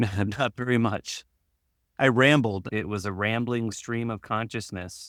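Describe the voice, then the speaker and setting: Recorded very cleanly against a silent background, a man speaks at a fairly slow pace and a medium pitch. He has an unremarkable speaking voice with fairly even intonation. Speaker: podcast host. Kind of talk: podcast interview.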